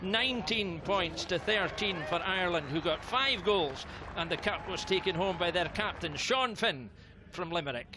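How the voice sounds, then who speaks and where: A man's animated, enthusiastic voice, high in pitch with ordinary pitch variation and a fairly slow pace, over noticeable background noise. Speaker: sports commentator. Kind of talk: live-style sports commentary recap. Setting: voiceover over match highlights. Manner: animated, brisk, enthusiastic play-by-play delivery.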